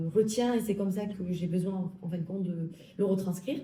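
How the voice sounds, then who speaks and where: A somewhat breathy voice with a dark, mellow tone moves at a fairly quick pace and fairly even intonation, with audible room echo around it. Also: woman. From southern France, Alpes-de-Haute-Provence. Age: 30s. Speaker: health law graduate. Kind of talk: interview.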